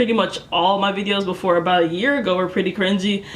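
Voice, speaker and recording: Noticeable background noise and audible room echo surround the recording. A woman at medium pitch speaks at a very fast pace. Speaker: youtuber. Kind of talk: casual vlog. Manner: casual.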